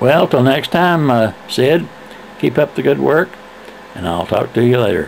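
Against noticeable background noise, a man of medium pitch speaks at a moderate pace with very wide pitch swings and long, frequent pauses. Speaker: retiree making video letters to friends. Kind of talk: casual video letter.

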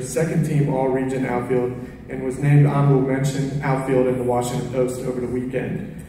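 A man speaks at a moderate pace amid strong room echo and light background noise. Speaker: baseball coach. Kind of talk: award ceremony speech. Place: hall. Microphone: camera far.

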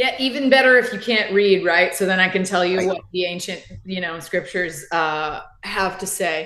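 A woman with a Southern US accent, a bright, sharp tone, ordinary pitch variation and a moderate pace, with audible room echo and light background noise. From US South. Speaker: therapist, podcast co-host; podcast co-host. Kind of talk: casual chat. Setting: live stream. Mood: earnest, reflective. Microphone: video call.

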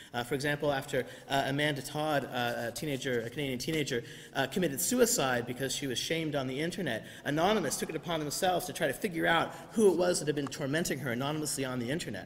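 With ordinary pitch variation, a man speaks very fast. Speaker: preacher. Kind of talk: sermon. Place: church. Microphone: podium.

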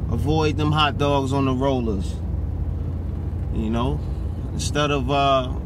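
A man speaks at a fairly slow pace with ordinary pitch variation, in a dry recording with no echo and noticeable background noise. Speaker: truck driver vlogger. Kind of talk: casual vlog chat. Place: car. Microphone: phone near.

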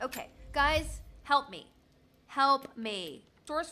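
A put-on character voice, female-sounding and high-pitched for a woman.

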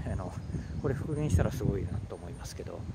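Amid loud background noise, a man talks at a very fast pace with a dry sound and no echo. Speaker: castle tour vlogger. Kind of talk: casual commentary while walking. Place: forest. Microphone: phone near.

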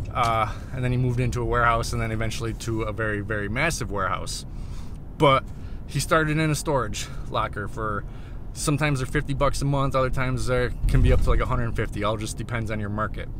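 Very fast speech from a man with ordinary pitch variation, dry with no echo, over noticeable background noise. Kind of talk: casual vlog chat. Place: car. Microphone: phone near.

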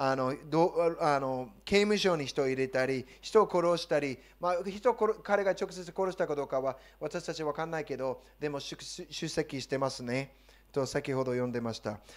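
A man with an English accent speaks in an animated tone with lively intonation. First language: English (speaking Japanese). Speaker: pastor. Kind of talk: sermon. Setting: church. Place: church. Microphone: handheld.

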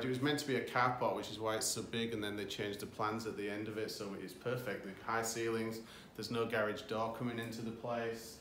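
A man's fairly quick, monotone, flat delivery, with audible room echo and light background noise. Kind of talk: interview answer. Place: studio. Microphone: phone near.

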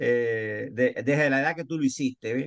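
A man talks at a moderate pace with a fairly high pitch. The background is quiet. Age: 60s. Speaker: architect turned business participant. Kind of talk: casual group discussion. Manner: halting.

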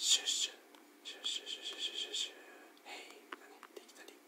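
Whispering, a man goes at a fairly quick pace. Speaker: ASMR creator. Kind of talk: whispered ASMR talk while playing a rhythm game. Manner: whispered. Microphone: studio mic.

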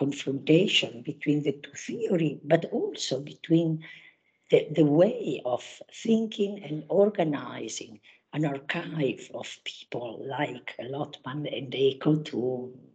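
A woman speaks at a very slow pace in a very deep, low pitch. Her voice is somewhat breathy, with big swings in loudness. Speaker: conference chair, academic. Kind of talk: conference opening remarks. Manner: halting.

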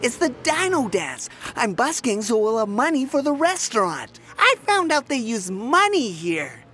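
A female-sounding put-on character voice at a fairly high pitch swings very widely in pitch at a moderate pace, with clear background noise. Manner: excited, upbeat.

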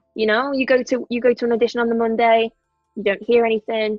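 Woman in a Liverpool accent at a fairly high pitch and a very fast pace, monotone, flat intonation, music in the background, and a dry sound with no echo. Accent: Scouse. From Liverpool, England. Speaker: actress. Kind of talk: interview answer. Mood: reflective, candid. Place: home room. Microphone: earbuds.

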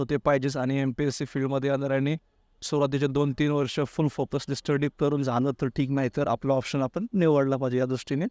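Against a quiet background, a man speaks at a fairly high pitch in a dark, mellow tone, with flat, monotone intonation and very even loudness, in a dry, close sound with no echo. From Maharashtra, Baramati area, Pune district. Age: 30s. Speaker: competitive exam aspirant. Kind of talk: interview.

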